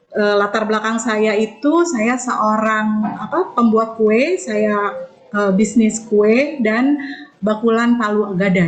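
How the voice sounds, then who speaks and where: A woman talks with a fairly high pitch and ordinary pitch variation. Music can be heard in the background. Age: 40s. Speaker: network marketing distributor. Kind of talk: online business presentation. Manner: casual conversational with fillers.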